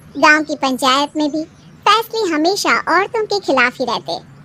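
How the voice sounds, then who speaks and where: A woman puts on a squeaky character voice at a high pitch. Her pitch swings very widely at a moderate pace. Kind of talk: cartoon story narration. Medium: cartoon.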